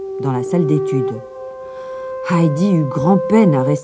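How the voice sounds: What you hear is a natural reading voice.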